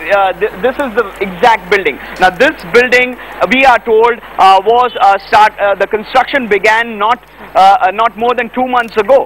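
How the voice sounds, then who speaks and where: Noticeable background noise behind a man speaking at a high pitch. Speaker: television news reporter. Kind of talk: live news field report. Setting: outdoors at disaster site.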